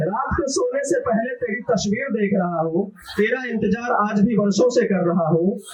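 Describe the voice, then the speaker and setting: A man speaks in a high voice with hardly any pauses. Noticeable background noise sits behind him. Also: ordinary pitch variation. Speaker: poet. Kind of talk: live open mic poetry performance. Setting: live audience. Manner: casual, joking asides between verses.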